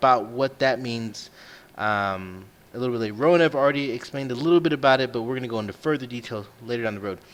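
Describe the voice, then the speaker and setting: A man rattles off his words at a very fast pace, his medium pitch showing ordinary variation. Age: 30s. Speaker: podcast host. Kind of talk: casual chat.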